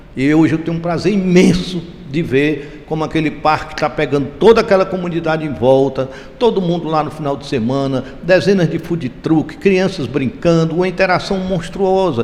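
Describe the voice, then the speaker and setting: Noticeable background noise sits under a man speaking at a moderate pace. His pitch is fairly high, with ordinary pitch variation. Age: 70s. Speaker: real estate developer. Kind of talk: interview. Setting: event venue.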